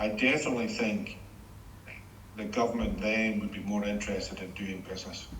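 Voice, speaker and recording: Fairly low male voice at a fairly quick pace broken by long, frequent pauses, fairly even intonation, audible room echo and noticeable background noise. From Scotland, Greenock. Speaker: former shipbuilding executive. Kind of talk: interview. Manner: hesitant, repeats words.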